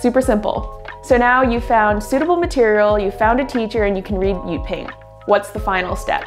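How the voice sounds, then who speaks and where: Over music in the background, a woman with a fairly high pitch and ordinary pitch variation speaks in an upbeat tone at a fairly quick pace. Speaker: language learning YouTuber. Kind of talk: educational talk to camera.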